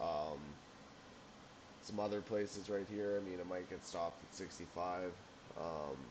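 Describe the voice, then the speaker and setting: The speech is mumbled at a moderate pace. Long pauses come often. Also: man, very deep, low pitch for a man. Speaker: amateur stock trader. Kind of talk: screen-share market analysis. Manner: mumbling; halting.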